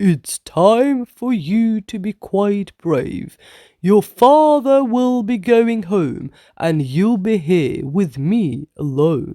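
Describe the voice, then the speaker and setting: A put-on character voice, fairly high in pitch and very slow, on a very clean recording with a silent background. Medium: read story. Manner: firm, instructive.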